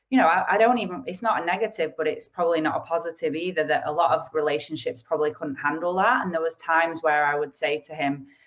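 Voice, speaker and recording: Someone speaks at a very fast pace in a northern English accent. The pitch varies in an ordinary way. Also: woman, fairly low pitch for a woman, hardly any pauses. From northern England. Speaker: retired professional squash player, author. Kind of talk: interview. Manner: halting, many restarts.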